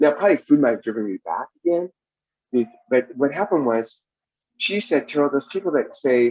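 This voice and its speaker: A man races along at a very fast pace with very wide pitch swings in a dry, close sound with no echo. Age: 60s. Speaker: twelve-step program speaker. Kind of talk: testimony. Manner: halting.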